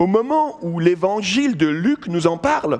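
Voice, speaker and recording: A man speaks with very wide pitch swings. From Switzerland, canton of Vaud. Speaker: pastor, guest preacher. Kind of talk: sermon. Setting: church.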